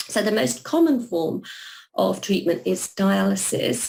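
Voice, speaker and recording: A woman with a London accent, at a fairly slow pace. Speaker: renal nurse and nursing academic. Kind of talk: webinar presentation. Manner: hesitant with many fillers and repeats.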